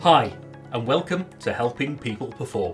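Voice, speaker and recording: Music plays in the background as a man talks. His intonation is lively and his pace moderate. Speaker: podcast host. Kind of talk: podcast intro.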